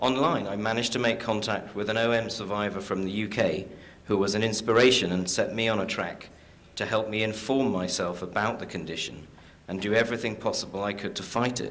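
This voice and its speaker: Fairly low in pitch, a man with an English accent speaks at a fairly quick pace with fairly even intonation, and audible room echo surrounds him. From London, England. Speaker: caregiver and patient advocate. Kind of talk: conference talk.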